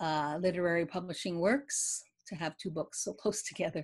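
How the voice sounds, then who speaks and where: In a Canadian accent, a woman speaks at a fairly slow pace with a fairly low pitch. Her pitch varies in an ordinary way over a quiet background. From Eastern Canada, Quebec near Ottawa. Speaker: poet and novelist; poet. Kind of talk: interview. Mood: warm, reflective about grief. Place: home room. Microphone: video call.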